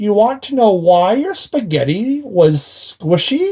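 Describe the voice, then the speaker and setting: Using a put-on character voice, a man speaks at a fairly slow pace with high pitch and very wide pitch swings. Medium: read story. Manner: sly, gloating.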